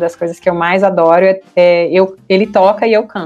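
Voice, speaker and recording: A woman speaks in a fairly low, flat monotone at a moderate pace. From Rio Grande do Sul, Brazil (Santo Ângelo). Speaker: government relations consultant. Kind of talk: interview. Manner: hesitant, with many fillers.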